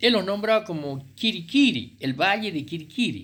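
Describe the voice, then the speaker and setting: At a fairly slow pace, a man speaks with a high pitch. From Argentina, Chilecito, La Rioja. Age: 70s. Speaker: writer and local historian. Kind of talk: oral history talk. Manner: halting, many fillers.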